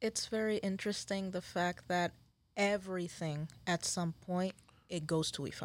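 A woman with a Spanish accent speaks at a moderate pace. Her medium-pitched voice keeps fairly even intonation. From Puerto Rico, San Juan. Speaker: spiritual practitioner and shop employee. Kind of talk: testimony.

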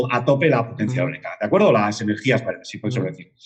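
There is noticeable noise in the background. Over it, a man speaks very fast. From Spain, Madrid. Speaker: independent market analyst. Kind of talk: interview.

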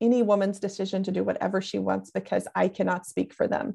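At a moderate pace, a woman speaks with an American accent against a quiet background. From US South, Tennessee. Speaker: podcast co-host. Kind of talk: casual chat.

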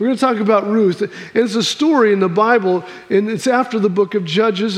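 A high-pitched male voice at a fairly quick pace, with ordinary pitch variation and noticeable background noise. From Missouri, US Midwest. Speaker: pastor. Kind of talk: sermon. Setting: church.

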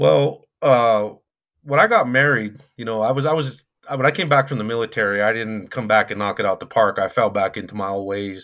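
An ordinary speaking voice from a man with an American accent, medium in pitch, fairly quick, with ordinary pitch variation and a quiet background. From Colorado, US. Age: 40s. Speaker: youth coach and mentor. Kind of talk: casual interview chat.

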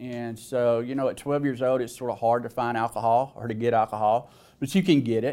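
A man's dark, mellow, medium-pitched voice with a Southern US accent, at a fairly quick pace with fairly even intonation, in a very clean recording with a silent background. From Alabama, US South. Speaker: person in recovery sharing story. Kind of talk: testimony. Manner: hesitant, filler-heavy.

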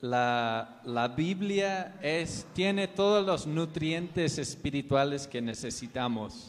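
At a very slow pace, a man speaks with a fairly high pitch. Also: lively intonation. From US South, North Carolina. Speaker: missionary preacher. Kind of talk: sermon. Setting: church.

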